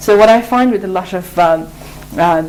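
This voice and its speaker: A woman of medium pitch speaks with a Mongolian accent against noticeable background noise. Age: 30s. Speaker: English teacher. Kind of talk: interview. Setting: studio. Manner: halting.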